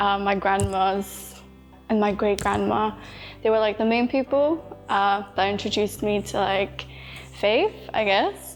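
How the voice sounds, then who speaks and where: With music in the background, a woman talks at a fairly slow pace and very even loudness, pausing long and often. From Poland, moved to England at nine. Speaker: nursing student. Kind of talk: interview testimony. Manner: casual, hesitant with many fillers.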